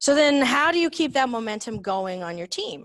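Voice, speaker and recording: A loud, animated woman at a fairly high pitch, with very wide pitch swings, a moderate pace and a quiet background. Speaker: business leader, speaker. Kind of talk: talk presentation. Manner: direct, animated.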